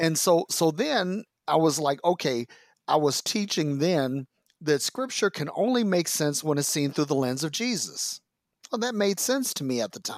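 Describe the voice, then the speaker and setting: A man with an American accent speaks at a moderate pace and a fairly high pitch, with very wide pitch swings. The recording is very clean with a silent background, dry and close with no echo. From US Midwest, Detroit, Michigan. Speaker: former pastor, author and podcaster. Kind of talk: casual interview conversation. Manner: animated, with frequent repetitions and restarts.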